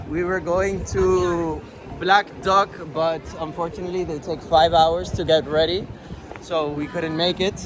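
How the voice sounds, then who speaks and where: A man's high-pitched voice at a fairly slow pace, intonation fairly even, over music in the background. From Spain. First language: Spanish. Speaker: travel vlogger and TV actor. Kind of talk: travel vlog. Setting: outdoors.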